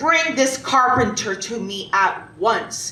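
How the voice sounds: Putting on a character voice, a woman speaks slowly at a fairly high pitch, her tone bright and sharp and her intonation lively, with audible room echo.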